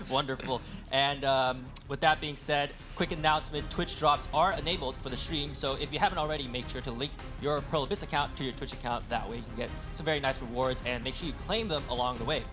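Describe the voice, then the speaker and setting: Very fast male speech at fairly high pitch with ordinary variation, with music in the background. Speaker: esports tournament host. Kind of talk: livestream hosting.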